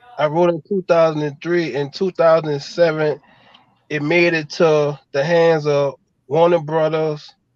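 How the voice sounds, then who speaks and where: With a New Orleans accent, a man speaks at a fairly slow pace in a fairly high, monotone voice with flat intonation. The sound is dry and close, without echo. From New Orleans, Fifth Ward. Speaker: screenwriter. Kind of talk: casual chat.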